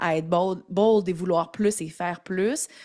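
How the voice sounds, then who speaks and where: A woman at medium pitch with a Quebec accent, on a very clean recording with a silent background. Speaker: entrepreneur. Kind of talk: casual chat. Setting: podcast interview.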